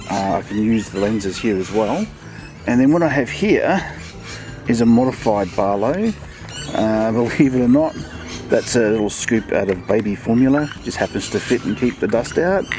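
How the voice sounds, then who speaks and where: Over noticeable background noise, a man talks at a moderate pace in a dry sound with no echo. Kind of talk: tutorial. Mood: relaxed, amused. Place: garden.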